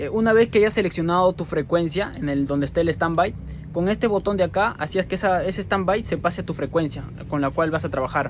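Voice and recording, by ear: A man's high voice at a fairly quick pace, with few pauses. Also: ordinary pitch variation.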